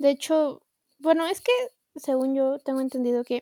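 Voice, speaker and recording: A woman with a high pitch and a dark, mellow tone speaks in a monotone, flat intonation. The sound is dry and close with no echo. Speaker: podcast co-host. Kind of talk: casual chat.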